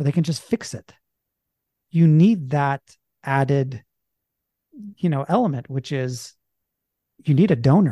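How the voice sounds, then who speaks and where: A man's fairly high, somewhat breathy voice with lively intonation, a fairly slow pace and long, frequent pauses, in a dry, close sound with no echo. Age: 40s. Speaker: filmmaker and documentarian. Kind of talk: casual chat.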